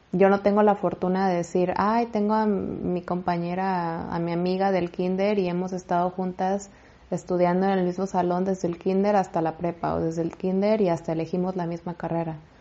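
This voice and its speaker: In a monotone, flat intonation, a woman talks at a moderate pace. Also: medium pitch for a woman. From Mexico. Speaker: faith podcaster. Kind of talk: inspirational monologue.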